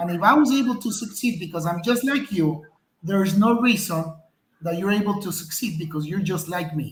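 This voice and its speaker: A man with a non-native accent talks at a high pitch with ordinary pitch variation, and room echo is audible. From outside the US, immigrated at twelve. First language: not English. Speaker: entrepreneur. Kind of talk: interview.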